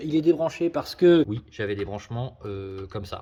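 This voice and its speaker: Against a quiet background, a man talks at a fairly quick pace in an animated tone with very wide pitch swings. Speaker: car modding YouTuber. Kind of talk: casual vlog tutorial. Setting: garage workshop.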